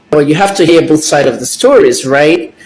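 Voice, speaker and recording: At a moderate pace, a man speaks while noticeable background noise carries on. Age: 60s. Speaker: celebrity gossip commentator. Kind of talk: casual vlog commentary.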